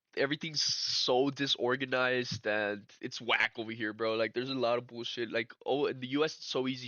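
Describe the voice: This man's voice sits at a medium pitch with a bright, sharp tone and little pitch movement. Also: dry, close sound with no echo.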